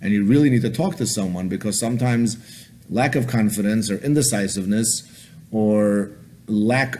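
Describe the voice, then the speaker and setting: The voice has a dark, mellow tone and a fairly quick pace. Audible room echo is present. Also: man. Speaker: rabbi, lecturer on dating. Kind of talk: lecture. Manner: fast.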